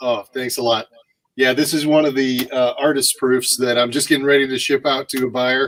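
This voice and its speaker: A man speaks in an American accent at a moderate pace. His intonation is monotone and flat, in a dry, close sound with no echo. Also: medium pitch for a man. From St. Louis, Missouri, US Midwest. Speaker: painter, artist. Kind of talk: live stream interview.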